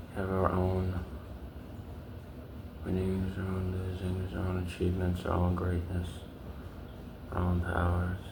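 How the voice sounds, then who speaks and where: Against noticeable background noise, a man with a very deep, low voice speaks in a monotone, flat way at a fairly slow pace, leaving long, frequent pauses. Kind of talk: ASMR video with soft-spoken affirmations and tapping. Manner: slow, repetitive, contemplative.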